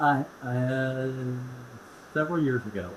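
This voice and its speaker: Audible room echo surrounds this man's voice. He has medium pitch and an American accent. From Indianapolis, Indiana. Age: 70s. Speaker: real estate expert. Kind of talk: casual chat.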